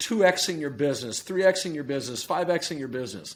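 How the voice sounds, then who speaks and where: With lively intonation and a fairly high pitch, a man talks in an ordinary speaking voice. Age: 60s. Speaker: performance coach. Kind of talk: podcast interview.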